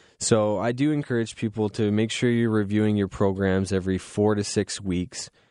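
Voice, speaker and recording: A man with a Canadian accent speaks at a moderate pace and a fairly low pitch, with fairly even intonation. He has a plain, everyday voice, and the background is quiet. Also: hardly any pauses. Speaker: radio host. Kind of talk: casual chat. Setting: studio. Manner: relaxed, frequent filler words.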